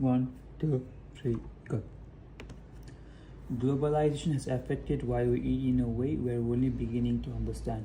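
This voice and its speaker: Speaking at a moderate pace, a man leaves long, frequent pauses, and audible room echo surrounds his voice. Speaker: english test candidate streaming practice. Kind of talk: reading aloud practice mixed with casual talk. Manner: repetitive, self-correcting.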